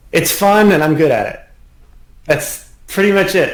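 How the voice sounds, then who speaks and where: A man's words come at a moderate pace, and the room echo is audible. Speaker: piano teacher. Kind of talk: interview.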